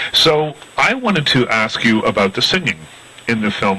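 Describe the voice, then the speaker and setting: A man talks at a moderate pace, with ordinary pitch variation, against noticeable background noise. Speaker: film critic, interviewer. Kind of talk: interview questions.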